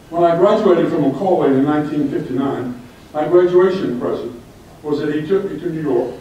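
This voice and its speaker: Speaking at a fairly quick pace, a man talks with an American accent. Noticeable background noise and audible room echo fill the recording. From US South, Orlando, Florida. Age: 70s. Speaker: club member speaker, retired librarian. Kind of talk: speech to club audience.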